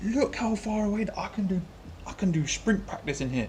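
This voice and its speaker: A man speaks with a British accent and lively intonation. He keeps a moderate pace. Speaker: cycling journalist and amateur crit racer. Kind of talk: travel vlog.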